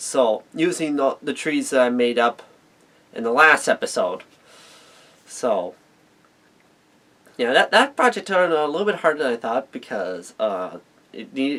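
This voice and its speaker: With very wide pitch swings and long, frequent pauses, a man speaks at a fairly high pitch and a moderate pace. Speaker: model railroading hobbyist youtuber. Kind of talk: tutorial. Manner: halting, repeats words.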